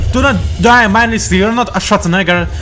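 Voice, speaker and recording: A man with a non-native accent speaks at a fairly quick pace. Audible room echo and noticeable background noise fill the recording. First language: not English. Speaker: game commentator. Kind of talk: live commentary. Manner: halting.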